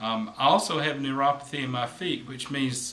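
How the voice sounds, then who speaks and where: A man talks at a moderate rate with light noise in the background. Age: 50s. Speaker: massage therapist; massage therapist instructor. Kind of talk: tutorial. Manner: hesitant, with fillers. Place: home room. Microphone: camera far.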